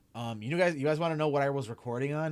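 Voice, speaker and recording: A man with a Chicago accent speaks very fast at a medium pitch with ordinary pitch variation. The recording is very clean, with a silent background. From Chicago area, US. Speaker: streamer and anime content creator. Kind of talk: casual livestream Q&A. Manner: casual with many fillers.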